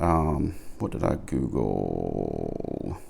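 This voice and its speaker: A man speaks in a Southern US accent with vocal fry. His pitch is very deep and low. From Alabama. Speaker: pipe smoking vlogger. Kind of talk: casual monologue. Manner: slow; low energy.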